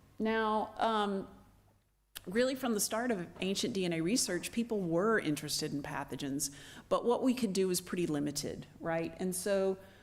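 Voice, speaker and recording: In a room with audible echo, a woman of medium pitch speaks at a moderate pace with lively intonation. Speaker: anthropologist, ancient DNA researcher. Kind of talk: lecture. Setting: stage with audience. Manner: soft-spoken.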